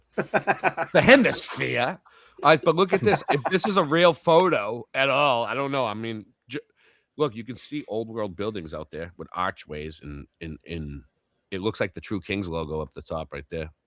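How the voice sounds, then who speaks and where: At a medium pitch with vocal fry, a man speaks at a moderate pace, his pitch swinging very widely and his loudness in big swings. The sound is dry and close, with no echo. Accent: Boston. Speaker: livestream host. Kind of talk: casual live stream reaction chat. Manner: animated.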